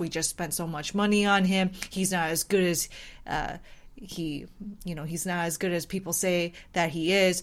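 A woman's unremarkable speaking voice, fairly low in pitch, at a moderate pace with fairly even intonation. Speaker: baseball podcast co-host. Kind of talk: casual chat.

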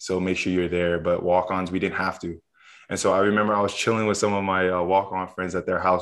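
In a quiet background, a man with a very deep, low pitch speaks very fast in a monotone, flat intonation. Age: 20s. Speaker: college football player. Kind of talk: casual chat.

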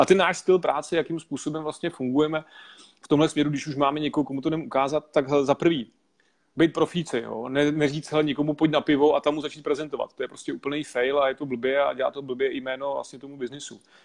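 This man talks very fast at a fairly high pitch. His intonation stays fairly even. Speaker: network marketing entrepreneur. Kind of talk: interview.

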